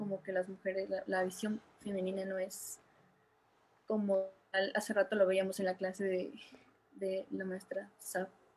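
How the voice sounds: A woman speaks at a fairly slow pace with a medium pitch and little pitch movement, her tone dark and mellow with a slightly husky edge.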